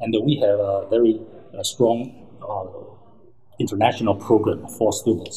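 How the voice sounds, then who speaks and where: At a moderate pace, a man is talking. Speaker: professor. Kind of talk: interview. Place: office.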